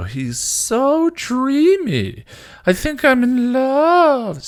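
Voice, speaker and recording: A man puts on a character voice in falsetto, his pitch extremely high. He speaks at a very slow pace. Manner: mocking, dreamy.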